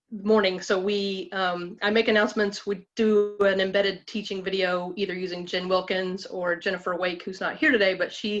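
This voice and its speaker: With music in the background, a woman speaks at a medium pitch and a fairly quick pace with fairly even intonation. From Alabama. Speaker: women's ministry group leader. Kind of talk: group presentation. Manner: fast.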